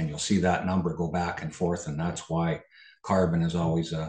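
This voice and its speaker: With a Canadian accent, a man speaks at a moderate pace in a very deep, low pitch. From Canada. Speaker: farmer and soil consultant. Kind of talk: webinar presentation.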